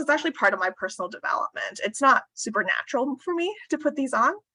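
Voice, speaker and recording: A woman speaks very fast with hardly any pauses, her high voice raised and projected with very wide pitch swings. The tone is bright and sharp, and the sound is dry and close with no echo. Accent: American. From US West Coast. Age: 40s. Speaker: corporate HR director and workshop speaker. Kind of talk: interactive workshop talk. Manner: conscious downward intonation at sentence ends.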